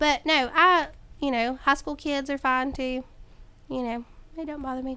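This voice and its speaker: A woman with a North Carolina accent speaks in a raised, projected voice, high-pitched with a bright, sharp tone. Her intonation stays fairly even while her loudness swings widely. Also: moderate pace. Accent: US South, North Carolina. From North Carolina, Caldwell County. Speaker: middle school teacher. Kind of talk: interview. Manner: casual, hesitant with ums.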